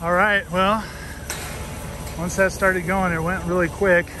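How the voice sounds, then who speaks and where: Moderate pace, dry sound with no echo, and noticeable background noise. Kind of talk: casual vlog chat. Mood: relaxed, pleased. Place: open country. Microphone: phone near.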